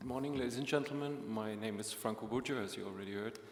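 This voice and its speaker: A man with a German-speaking European accent talks at a very fast pace and a medium pitch. His intonation is fairly even, and the room echo is audible. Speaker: EU agency official. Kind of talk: opening speech at a conference. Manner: formal.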